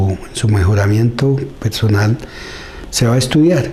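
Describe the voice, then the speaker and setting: Amid noticeable background noise, a man talks at a medium pitch and moderate pace with ordinary pitch variation. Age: 60s. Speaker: community leader. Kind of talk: interview. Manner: halting.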